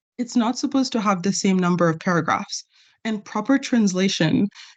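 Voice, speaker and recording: A somewhat breathy woman's voice against a quiet background. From Ontario, Canada (moved there at age ten). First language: not English (learned English at ten). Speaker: government employee in a staff discussion. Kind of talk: bilingual group meeting discussion.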